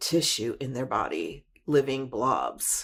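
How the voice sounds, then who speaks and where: A woman at a very slow pace, with ordinary pitch variation. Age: 60s. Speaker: testimony speaker, military veteran. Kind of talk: testimony. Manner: halting, with fillers.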